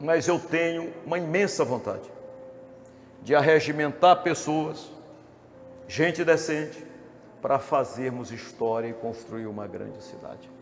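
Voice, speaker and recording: A man speaks fairly slowly in a fairly high voice, with long, frequent pauses and big swings in loudness. Noticeable background noise and audible room echo surround his ordinary pitch variation. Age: 60s. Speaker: politician. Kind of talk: campaign speech. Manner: formal.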